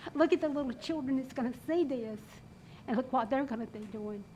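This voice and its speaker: Speaking with a Southern US accent, a woman talks at a high pitch with ordinary pitch variation. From North Carolina. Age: 70s. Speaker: resident speaking at public comment. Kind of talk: public comment at council meeting. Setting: council chamber. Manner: impassioned.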